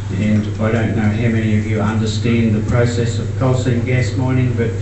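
Noticeable background noise runs through the clip. Audible room echo is present too. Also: man. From Queensland, Australia. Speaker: farmer. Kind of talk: conference talk. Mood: earnest, concerned. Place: hall. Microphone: camera far.

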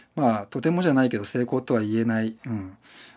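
The voice belongs to a man with a medium pitch. His tone is dark and mellow. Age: 40s. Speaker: YouTuber and freelance video creator; YouTuber, freelance video creator. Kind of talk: casual solo talk to camera. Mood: reflective, self-deprecating. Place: home room.

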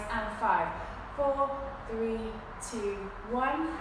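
Fairly slow speech with ordinary pitch variation, strong room echo, and noticeable background noise. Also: woman. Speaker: fitness instructor. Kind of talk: guided exercise class. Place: gym. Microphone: camera far.

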